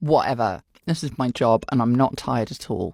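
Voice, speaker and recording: The speech comes at a fairly slow pace in a British accent. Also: very clean recording, silent background. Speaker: voice actor. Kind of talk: casual chat. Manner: animated.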